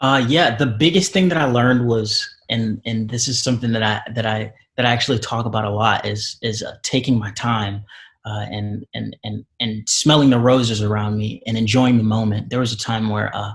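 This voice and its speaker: Fairly even intonation from a man, somewhat breathy in tone. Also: medium pitch for a man, moderate pace. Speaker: actor. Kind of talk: interview. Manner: articulate.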